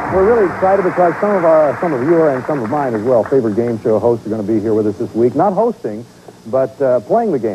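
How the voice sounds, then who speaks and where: Over noticeable background noise, a man with a medium pitch talks at a very fast pace with very wide pitch swings. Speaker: game show host. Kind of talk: game show host patter, upbeat and conversational. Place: studio. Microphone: lapel.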